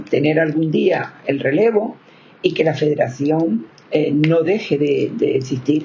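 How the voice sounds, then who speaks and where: A woman's very deep, low voice, lively in intonation, at a very slow pace over noticeable background noise. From Spain, Canary Islands (Gran Canaria). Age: 70s. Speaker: victims' rights advocate. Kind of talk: interview.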